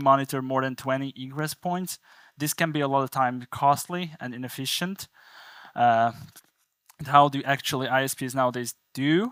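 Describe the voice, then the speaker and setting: On a very clean recording with a silent background and a dry, close sound with no echo, a man with a Hungarian accent speaks at a moderate pace in a fairly high pitch with ordinary pitch variation. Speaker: conference speaker from a network analytics company. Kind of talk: technical conference talk.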